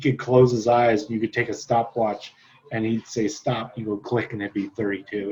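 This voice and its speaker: A man at medium pitch speaks at a moderate pace with fairly even intonation in a plain, everyday voice. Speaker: real estate trainer. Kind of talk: lecture. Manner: casual, filler-heavy.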